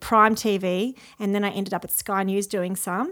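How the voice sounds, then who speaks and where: A woman with an Australian accent speaks at a moderate pace in a fairly high voice with fairly even intonation, on a very clean recording with a silent background. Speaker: TV news journalist. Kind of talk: casual interview. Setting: at her old school.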